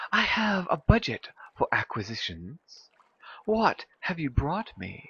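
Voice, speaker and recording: A man whispers in a put-on character voice, breathy and at a fairly slow pace. The whisper stays fairly slow throughout. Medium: game stream. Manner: whispering, breathy.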